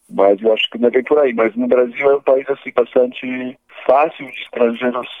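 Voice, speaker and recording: A man's medium-pitched voice at a fairly quick pace, flat and monotone in intonation. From Poland. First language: Polish (speaking Portuguese). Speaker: guest interviewee, Polish expatriate. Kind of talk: casual interview chat. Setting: phone call. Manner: halting, many repetitions.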